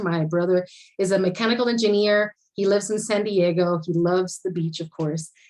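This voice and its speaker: A Spanish accent at a moderate pace. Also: woman. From Puerto Rico. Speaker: architecture panelist. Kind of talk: conference panel talk.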